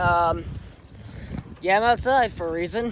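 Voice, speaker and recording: Noticeable background noise sits under speech delivered at a fairly slow pace. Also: man, dry sound with no echo. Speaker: vlogger. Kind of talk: casual vlog chat. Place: open country. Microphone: phone near.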